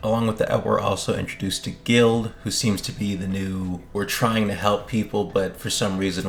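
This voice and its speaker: A man talks at a fairly quick pace with a fairly low pitch. His intonation stays fairly even over noticeable background noise. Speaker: gaming YouTuber. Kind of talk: casual commentary video.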